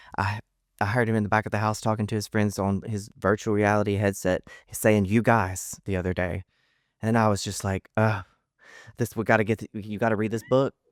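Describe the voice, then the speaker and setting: In a dry, close recording with no echo and a very clean, silent background, a man with a Southern US accent talks at a fairly quick pace. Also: fairly low pitch for a man. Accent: Southern American. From Southern United States. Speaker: social media storyteller and author. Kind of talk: podcast interview answer. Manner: upbeat, enthusiastic.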